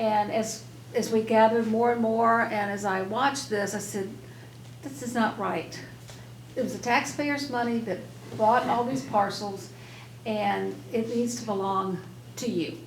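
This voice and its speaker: In a room with audible room echo, a woman with a fairly high pitch speaks at a fairly slow pace with ordinary pitch variation and long, frequent pauses. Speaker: local elected official. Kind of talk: public meeting remarks. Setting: public meeting room with audience. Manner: hesitant, with restarts.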